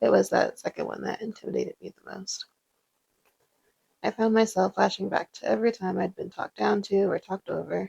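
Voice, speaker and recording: At a fairly quick pace, a woman speaks with big swings in loudness in a dry, close sound with no echo. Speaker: life coach and content creator. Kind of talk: personal reflection narration.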